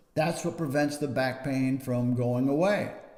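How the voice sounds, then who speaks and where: There is audible room echo around this man's voice. It is fairly high, with ordinary pitch variation. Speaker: back pain clinician. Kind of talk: educational talk to camera.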